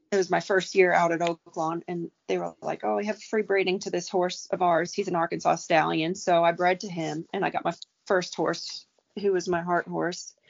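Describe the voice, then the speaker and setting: A woman's unremarkable speaking voice with an American accent, fairly low in pitch, at a moderate pace with fairly even intonation. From New York, Staten Island. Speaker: racehorse trainer. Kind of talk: casual chat.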